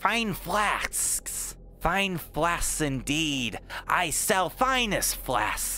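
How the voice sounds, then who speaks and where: Over clear background noise, a man puts on a character voice and speaks at a very slow pace. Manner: servile, reverent.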